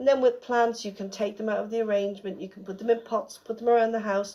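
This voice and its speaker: With an Irish accent, a woman talks at a fairly quick pace in a dark, mellow tone. Her pitch sits fairly high, and her intonation stays fairly even. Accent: Irish, can't say 'th'. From Ireland, Dublin. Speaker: florist and celebrant. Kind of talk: radio interview. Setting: radio studio. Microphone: recorded on phone, bad audio.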